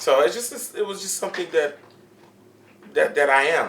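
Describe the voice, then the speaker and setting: Speaking at a moderate pace with a Haitian accent, a man leaves long, frequent pauses and shows big swings in loudness against noticeable background noise. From Miami, Florida, Haitian-American household. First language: Haitian Creole. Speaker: comedian. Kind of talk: casual interview chat.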